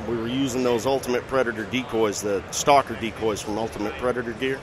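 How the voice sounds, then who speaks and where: Noticeable background noise runs behind a man's voice of medium pitch. He talks at a very fast pace. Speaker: bowhunting TV personality. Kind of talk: casual interview. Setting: trade show floor. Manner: jovial, laughs often.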